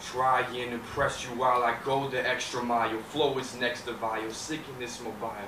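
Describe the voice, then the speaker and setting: Over noticeable background noise, a man speaks in a dramatic tone at a moderate pace with monotone, flat intonation. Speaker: talent show performer. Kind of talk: spoken word poetry performance. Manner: rhythmic, dramatic delivery. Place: stage.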